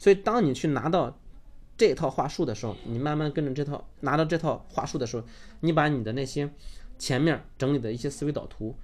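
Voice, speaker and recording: Speaking at a fairly quick pace, a man with a fairly high pitch and ordinary pitch variation is heard in a very clean recording with a silent background. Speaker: online course instructor. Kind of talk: lecture.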